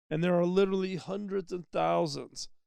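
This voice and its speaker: The speaker is a man. He has an American accent. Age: 60s. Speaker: podcast host. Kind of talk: solo podcast monologue. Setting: mobile studio. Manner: conversational, with fillers.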